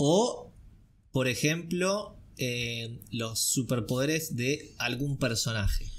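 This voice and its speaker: A man with a Rioplatense accent, somewhat breathy, with lively intonation and a very slow pace. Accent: Argentine Rioplatense Spanish. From Argentina. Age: 20s. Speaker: acting student; podcast host. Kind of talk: casual chat. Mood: relaxed, cheerful. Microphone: studio mic.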